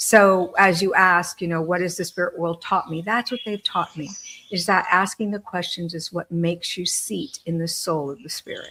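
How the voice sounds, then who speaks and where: A woman talks at a moderate pace with a fairly low pitch and ordinary pitch variation. Her tone is bright and sharp. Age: 60s. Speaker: medium and author. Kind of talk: panel discussion. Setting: live video stream. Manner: halting.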